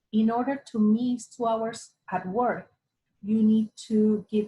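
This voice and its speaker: Her voice has a dark, mellow tone and is somewhat breathy. The woman speaks at medium pitch in a Spanish accent. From Latin America. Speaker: ESL teacher. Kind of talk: interview.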